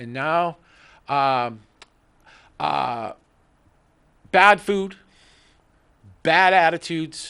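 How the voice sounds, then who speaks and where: Pausing long and often, a man with a fairly high voice and a bright, sharp tone shows ordinary pitch variation and big swings in loudness. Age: 60s. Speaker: talk show host. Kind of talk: casual chat. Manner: halting, many fillers.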